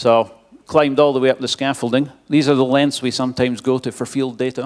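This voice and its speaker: A man speaks with a strong Scottish accent at a fairly quick pace. His pitch is medium and his intonation monotone and flat. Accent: Scottish, self-described as strong. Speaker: wind engineering expert. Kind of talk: conference presentation. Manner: casual, with fillers.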